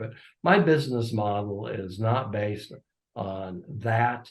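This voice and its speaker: Somewhat breathy, a man's voice sits at a fairly low pitch with ordinary pitch variation. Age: 80s+. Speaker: racehorse owner and breeder. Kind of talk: interview.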